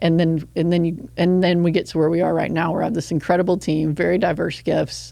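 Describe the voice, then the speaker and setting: A woman talks very fast in a dark, mellow, fairly low voice with vocal fry. Her intonation is monotone and flat, and her loudness is very even. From West Texas (Odessa). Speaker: nonprofit executive director. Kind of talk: interview conversation.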